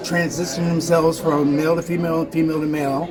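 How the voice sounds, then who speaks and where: The speaker goes at a moderate pace with crowd noise in the background. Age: 60s. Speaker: actor's son attending a film festival. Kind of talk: casual interview. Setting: filmmaker's lounge at a film festival. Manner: halting, with false starts.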